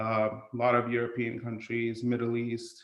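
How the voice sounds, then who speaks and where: In an American accent, a man talks at medium pitch with monotone, flat intonation. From India. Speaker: gym member, podcast guest. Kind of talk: casual interview chat.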